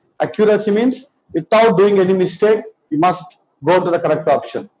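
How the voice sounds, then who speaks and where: The man's voice has a dark, mellow tone. He keeps his delivery at a moderate pace. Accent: Telugu. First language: Telugu. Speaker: biology teacher. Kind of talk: lecture.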